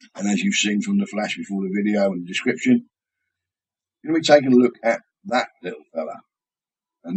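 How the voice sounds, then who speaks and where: A man speaks with a British accent. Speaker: vaping product reviewer. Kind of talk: product review tutorial. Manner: casual, conversational.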